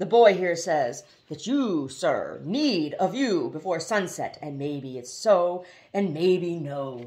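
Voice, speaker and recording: A woman does a booming, put-on character voice at a fairly low pitch. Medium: read story. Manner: stammering "but, but, but", boisterous.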